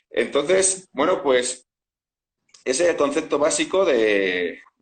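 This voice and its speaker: A man speaks at a fairly high pitch with vocal fry. His pace is fairly slow. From Spain. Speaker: food scientist and supplement entrepreneur. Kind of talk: interview. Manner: hesitant, many fillers.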